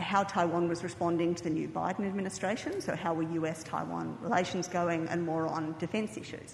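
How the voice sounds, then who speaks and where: A woman with an Australian accent speaks at a fairly low pitch with fairly even intonation, amid audible room echo and noticeable background noise. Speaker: think tank director. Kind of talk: conference speech.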